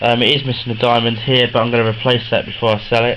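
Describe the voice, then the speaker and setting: With a British accent, a medium-pitched man speaks at a very fast pace against noticeable background noise. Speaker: collector selling wrestling replica belts. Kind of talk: sales pitch. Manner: hesitant, many fillers.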